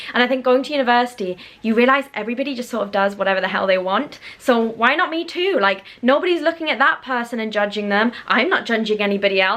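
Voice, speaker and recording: Lively intonation marks a woman's fairly high voice at a very fast pace over noticeable background noise. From northern England, Newcastle. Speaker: vlogger, university graduate. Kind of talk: casual chat. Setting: home video filmed on a tripod. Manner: clear enunciation.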